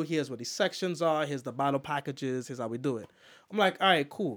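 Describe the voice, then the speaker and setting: On a very clean recording with a silent background, a man speaks with ordinary pitch variation. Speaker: DJ and poet. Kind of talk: casual chat. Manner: casual, rambling, repeats phrases.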